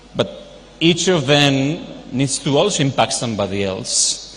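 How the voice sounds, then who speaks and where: In a non-native accent, a man speaks at a fairly slow pace with a fairly high pitch. Audible room echo and noticeable background noise fill the recording. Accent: foreign. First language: not Telugu, foreign. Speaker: university vice president and professor. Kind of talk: speech at charity event. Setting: stage with audience. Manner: informal, off-the-cuff.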